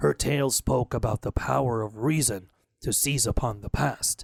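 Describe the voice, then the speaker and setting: In a put-on character voice, a man sounds gruff and growling at a medium pitch and a moderate pace. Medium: read story. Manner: gruff, growling.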